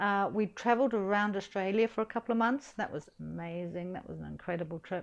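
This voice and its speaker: A woman with a New Zealand accent speaks against a quiet background. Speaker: English teacher. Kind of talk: interview answer. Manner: hesitant, casual.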